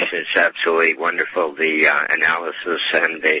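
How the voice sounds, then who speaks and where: A man with an American accent at a fairly slow pace, over noticeable background noise. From Idaho. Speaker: caller. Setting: phone call. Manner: rambling, incoherent.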